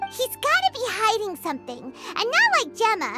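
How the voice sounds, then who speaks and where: A put-on character voice at an extremely high pitch plays over clear music in the background. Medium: video game.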